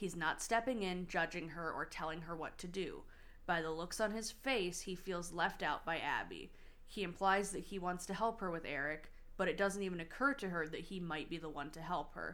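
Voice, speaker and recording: A woman with a fairly low pitch speaks in an unremarkable speaking voice. She keeps a moderate pace and ordinary pitch variation. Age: 30s. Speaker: podcast co-host. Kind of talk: casual chat.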